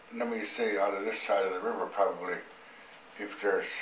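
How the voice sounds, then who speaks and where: A man is speaking. His voice carries audible room echo along with noticeable background noise. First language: Mandan. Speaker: Native language speaker, elder. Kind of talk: interview. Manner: halting.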